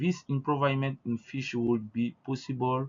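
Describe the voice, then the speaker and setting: A man with an Ivorian accent speaks at a fairly slow pace. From Ivory Coast. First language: French. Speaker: researcher. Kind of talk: conference presentation. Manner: halting.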